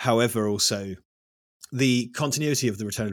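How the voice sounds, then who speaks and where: A man with an East Anglian accent talks at a fairly quick pace with ordinary pitch variation in a very clean recording with a silent background. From East Anglia, England. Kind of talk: casual chat. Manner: animated.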